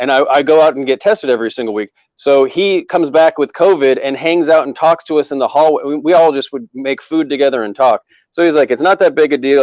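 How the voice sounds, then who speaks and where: Talking at a very fast pace with an American accent, the speaker uses ordinary pitch variation. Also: man, fairly high pitch for a man. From US Northwest. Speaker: comedian. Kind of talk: casual chat. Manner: loud.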